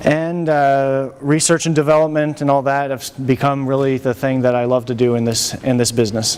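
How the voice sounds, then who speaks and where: Noticeable background noise sits behind a man's fairly high voice. His intonation is fairly even. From France. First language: French and English. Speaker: animation studio technology chief. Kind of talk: lecture. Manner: halting.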